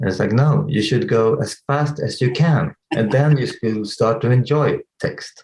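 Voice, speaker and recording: Somewhat breathy and medium in pitch, a man speaks at a fairly slow pace with ordinary pitch variation. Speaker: tech company CEO. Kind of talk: interview. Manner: halting.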